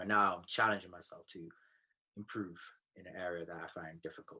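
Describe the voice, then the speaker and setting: The voice has a bright, sharp tone and an American accent, moving at a fairly quick pace with fairly even intonation. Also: man. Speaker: content creator. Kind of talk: coaching session. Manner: hesitant.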